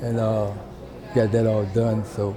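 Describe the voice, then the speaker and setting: A man talks at a fairly slow pace in a flat monotone. Noticeable background noise and audible room echo surround him. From Petersburg, Virginia, US South. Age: 70s. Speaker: local artist. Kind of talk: interview. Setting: public library. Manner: halting.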